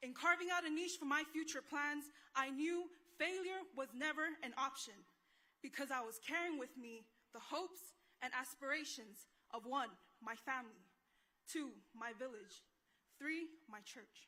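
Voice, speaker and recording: Her voice raised and projected, a woman speaks at a high pitch and moderate pace in a bright, sharp tone, with ordinary pitch variation and long, frequent pauses. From American Samoa. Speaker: graduating student speaker. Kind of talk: commencement speech. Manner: formal.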